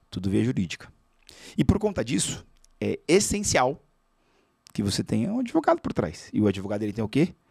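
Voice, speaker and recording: Speaking at a fairly quick pace yet with long, frequent pauses, a man is heard in a dry sound with no echo against a quiet background. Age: 30s. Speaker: financial educator and speaker; guest. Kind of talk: casual chat. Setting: studio. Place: studio. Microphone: studio mic.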